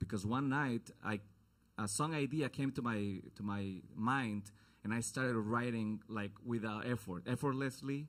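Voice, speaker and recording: A man with a Mexican accent keeps his loudness very even and his pitch variation ordinary. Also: medium pitch for a man, fairly slow pace. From Mexico, Guadalajara. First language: Spanish. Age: 30s. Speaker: singer-songwriter. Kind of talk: onstage introduction to a song. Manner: casual, halting.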